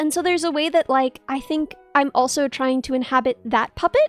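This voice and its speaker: Music plays in the background while a woman talks at a fairly quick pace. Her pitch variation is ordinary, and the sound is dry and close with no echo. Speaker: VTuber streamer. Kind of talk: casual conversation among streamers.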